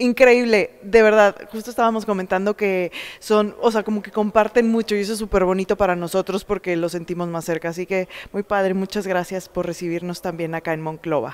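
A woman is speaking at a fairly quick pace. Her intonation stays fairly even. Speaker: actress in a play. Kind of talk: interview answer. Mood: warm, cheerful. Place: hall. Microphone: handheld.

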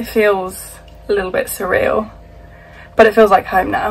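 A woman speaks at a moderate pace. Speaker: vlogger. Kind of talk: casual vlog chat. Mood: happy, proud. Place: boat. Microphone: phone near.

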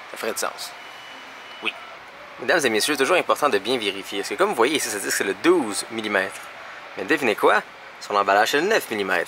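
A man speaks in a Quebec accent at a fairly quick pace. He takes long, frequent pauses, and light noise sits in the background. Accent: Québécois French. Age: 20s. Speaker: vlogger. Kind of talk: casual vlog talk; tech tutorial. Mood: annoyed, sarcastic. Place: shop. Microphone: phone near.

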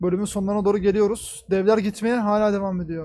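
A man speaks in a high pitch with monotone, flat intonation. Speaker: reaction streamer. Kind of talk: casual reaction commentary. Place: home room. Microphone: headset.

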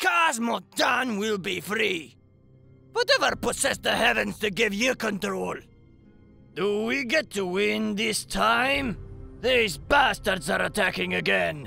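With faint music behind him, a man in a put-on character voice talks fairly slowly at a high pitch, leaving long, frequent pauses. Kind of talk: fantasy game battle lines. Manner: gruff, defiant, aggressive.

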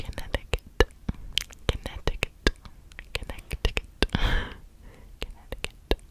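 A woman whispers at a fairly slow pace. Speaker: ASMR creator. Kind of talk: ASMR trigger words. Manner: soft-spoken, repetitive. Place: home room. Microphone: studio mic.

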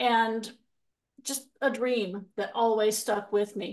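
Over a quiet background, a woman with a plain, everyday voice speaks at a fairly slow pace, her pitch fairly high and her intonation fairly even. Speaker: paranormal experiencer. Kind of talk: casual chat.

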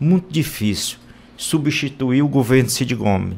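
Moderate pace, with a Ceará accent. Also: man. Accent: northeastern Brazilian (Cearense) Portuguese. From Brazil, sertão central of Ceará (Boa Viagem); Ceará, Brazil. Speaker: state politician. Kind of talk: radio interview. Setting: radio studio. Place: studio.

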